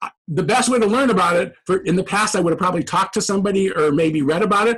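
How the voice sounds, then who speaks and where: Talking at a fairly quick pace, a man uses a high pitch with ordinary pitch variation. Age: 60s. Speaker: professor. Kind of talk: podcast interview. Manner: halting, many repeated words.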